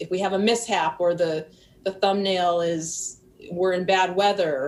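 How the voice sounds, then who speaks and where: This woman, with an American accent, talks at a fairly slow pace in a medium pitch. Her intonation is fairly even. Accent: Wisconsin accent, trying to lose it. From US Midwest, Milwaukee, Wisconsin. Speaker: boating YouTuber. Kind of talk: casual interview chat.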